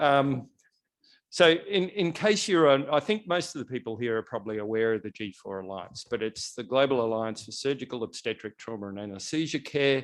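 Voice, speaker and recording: A man at a medium pitch, fairly quick and lively in intonation, with big swings in loudness, on a very clean recording with a silent background. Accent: Australian. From Australia. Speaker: NGO representative opening a health policy event. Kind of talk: event welcome speech.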